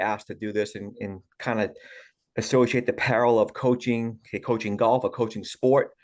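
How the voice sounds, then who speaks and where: Over a quiet background, a man with a Boston accent talks at a fairly quick pace. His medium pitch stays monotone and flat. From Massachusetts, Boston area. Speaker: golf coach. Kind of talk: interview. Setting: podcast.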